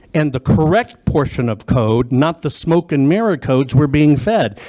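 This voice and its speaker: A man with an American accent speaks at a moderate pace in a fairly high pitch, his dark, mellow tone carried by lively intonation in a dry, close sound with no echo. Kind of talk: testimony at legislative hearing. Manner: loud; emphatic, repetitive.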